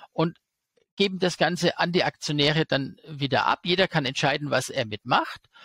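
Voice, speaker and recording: A man with vocal fry talks at a moderate pace and ordinary pitch variation, in a dry sound with no echo. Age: 40s. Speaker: stock market expert and YouTuber; interview guest. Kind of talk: interview. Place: home room. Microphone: headset.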